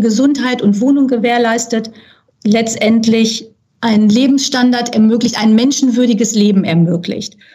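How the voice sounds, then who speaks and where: At a fairly slow pace, a woman talks in a plain, everyday voice, fairly high in pitch with fairly even intonation. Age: 50s. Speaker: charity secretary-general. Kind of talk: podcast interview. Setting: studio.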